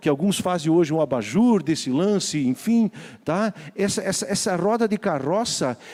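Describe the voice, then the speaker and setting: A man with a high-pitched yet dark, mellow tone speaks at a moderate pace with lively intonation. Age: 60s. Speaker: pastor. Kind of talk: sermon.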